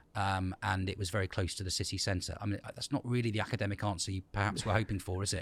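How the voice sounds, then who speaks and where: A man with a southern English accent talks very fast in a monotone, flat intonation at a fairly low pitch. The recording is very clean with a silent background. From England, Ipswich (Suffolk). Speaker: school principal. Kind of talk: interview. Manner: hesitant with fillers.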